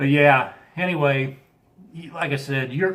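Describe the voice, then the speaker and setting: A man talks at a moderate pace with a fairly high pitch. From US Midwest, Chicago area. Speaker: live streamer. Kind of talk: casual live-stream chat. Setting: live stream.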